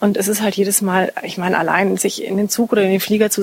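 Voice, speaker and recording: A woman with a medium-pitched voice speaks at a fairly quick pace in a flat monotone. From Munich, Bavaria. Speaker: master tailor and stylist. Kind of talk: interview. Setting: her studio.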